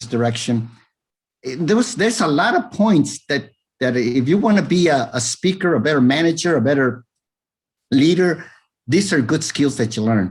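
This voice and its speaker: Pausing long and often, a man with a fairly high, somewhat breathy voice swings very widely in pitch. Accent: American. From Texas, raised partly in Arizona. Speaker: former salesman and police officer, public speaker. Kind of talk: interview. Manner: fast.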